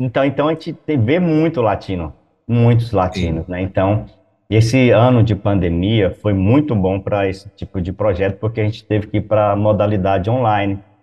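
A man at a moderate pace with a fairly low pitch, ordinary pitch variation and a somewhat breathy quality. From Brazil, Goiás. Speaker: missionary pastor. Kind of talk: interview.

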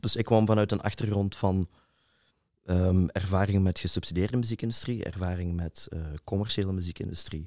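This man's voice is very deep and low, with a dark, mellow tone and fairly even intonation. The recording is very clean and silent behind him, dry and close with no echo. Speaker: DJ and nightlife organizer. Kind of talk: casual interview. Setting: studio.

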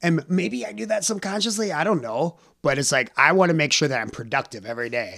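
A fairly high-pitched man with an American accent, very fast pace and very wide pitch swings. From US Midwest. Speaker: jiu-jitsu practitioner and martial arts student. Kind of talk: casual interview conversation.

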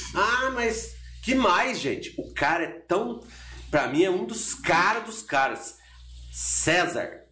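Very slowly, a man talks as audible room echo follows his words. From Minas Gerais, Brazil (Borda da Mata). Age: 40s. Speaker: university professor. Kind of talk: casual chat. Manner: talkative.

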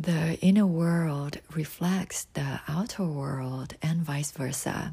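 Speaking at a very slow pace in a Thai accent, the voice comes through in a very clean recording with a silent background. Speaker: astrology podcaster. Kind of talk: scripted narration.

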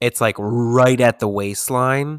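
A normal speaking voice from a man at a moderate pace, ordinary pitch variation, and a dry, close sound with no echo. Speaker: podcast host. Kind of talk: casual chat. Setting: remote virtual recording.

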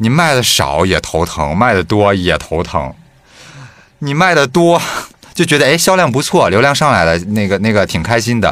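Very wide pitch swings in a man's medium-pitched voice, delivered at a moderate pace. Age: 30s. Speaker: podcast co-host. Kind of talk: casual chat.

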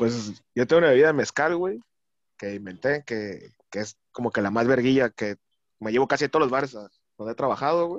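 Against a quiet background, a man talks at a fairly quick pace in a plain, everyday voice of medium pitch, the sound dry and close with no echo. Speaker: bartender and Twitter personality. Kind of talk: casual chat.

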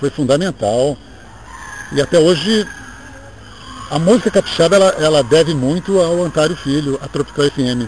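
Long, frequent pauses break up a man's fairly high voice, which has ordinary pitch variation over noticeable background noise. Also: moderate pace. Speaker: radio announcer. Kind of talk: interview, reminiscing. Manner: halting, repeats words.

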